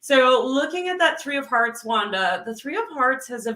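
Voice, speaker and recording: Here a woman talks in a raised, projected voice at a high pitch. Her tone is bright and sharp, with lively intonation. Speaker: numerologist and success coach. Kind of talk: live numerology reading.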